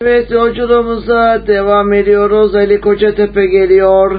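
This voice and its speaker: A man speaks at a fairly slow pace in a high pitch, with ordinary pitch variation. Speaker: radio host. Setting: radio studio, live broadcast.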